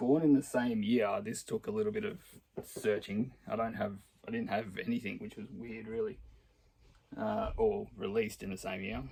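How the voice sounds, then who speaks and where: Long, frequent pauses break up a man's moderate pace. He speaks with an Australian accent. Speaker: record collector. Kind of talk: casual talk to camera.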